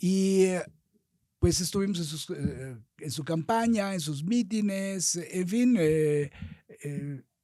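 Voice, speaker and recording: At a very slow pace, a man talks in a high pitch with a dark, mellow tone. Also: ordinary pitch variation. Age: 70s. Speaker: politician. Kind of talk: interview.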